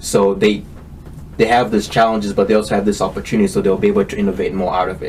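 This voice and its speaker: A man at a very fast pace, with a slight Kenyan accent. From Kenya, moved to US at ten. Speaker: tech entrepreneur. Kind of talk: interview. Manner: hesitant, many fillers.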